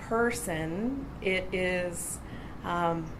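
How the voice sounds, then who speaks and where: A woman with a Canadian accent at a medium pitch and fairly even intonation, with audible room echo and noticeable background noise. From northwestern Ontario, Canada. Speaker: conference speaker, university graduate. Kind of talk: conference talk with storytelling. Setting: conference stage with audience. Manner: casual, with many filler words.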